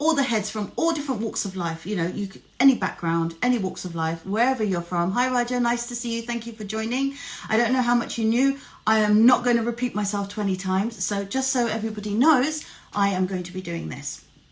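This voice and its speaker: A woman with a British accent speaks at a fairly quick pace in a fairly high pitch, her intonation lively, with noticeable background noise. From UK. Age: 40s. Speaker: life coach and live show host. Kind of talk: casual live-stream chat.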